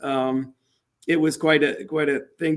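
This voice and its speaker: At a moderate speed, this man talks with a pitch that is fairly high for a man. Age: 60s. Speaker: leadership coach and speaker. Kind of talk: interview. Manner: halting, many fillers.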